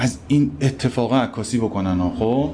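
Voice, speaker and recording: This man has an ordinary speaking voice, medium pitch, ordinary pitch variation and a moderate pace. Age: 30s. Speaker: photo editor at a news agency. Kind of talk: interview. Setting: live recording in a cafe.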